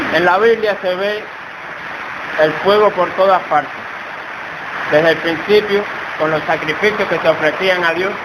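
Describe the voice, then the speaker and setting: Speaking fairly slowly with long, frequent pauses, a man uses a high pitch and fairly even intonation. Audible room echo and noticeable background noise fill the recording. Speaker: preacher. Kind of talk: sermon. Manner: soft-spoken.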